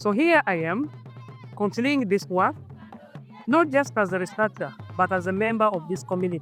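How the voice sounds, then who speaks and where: The speaker moves at a moderate pace with long, frequent pauses. The pitch swings very widely, and music plays in the background. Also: man, high pitch for a man. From Uganda. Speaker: linguist. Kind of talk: personal digital story narration.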